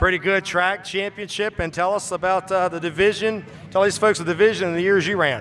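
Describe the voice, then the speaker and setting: Music plays in the background as a man speaks. His high pitch stays monotone and flat. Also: fairly quick pace. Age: 50s. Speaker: race announcer. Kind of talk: event interviews with audience.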